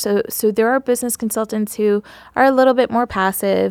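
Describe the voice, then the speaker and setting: A woman with an American accent and an ordinary speaking voice, fairly high in pitch with ordinary pitch variation, in a dry, close sound with no echo. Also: very clean recording, silent background. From Queens, New York, from age two to ten. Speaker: business consultant, former attorney. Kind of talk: interview, casual chat.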